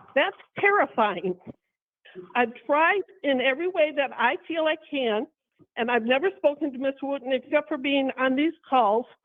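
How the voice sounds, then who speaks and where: A woman's high-pitched voice has lively intonation and a moderate pace. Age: 70s. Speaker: defendant in court hearing. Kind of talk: testimony. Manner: halting.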